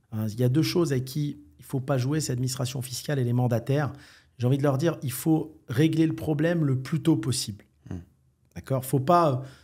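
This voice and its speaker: A man talks at a fairly quick pace in a dark, mellow, somewhat breathy tone with ordinary pitch variation against a quiet background. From France, Algerian heritage. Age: 40s. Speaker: entrepreneur; podcast guest. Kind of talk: casual interview. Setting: Marrakech. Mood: calm, assured. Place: studio. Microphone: studio mic.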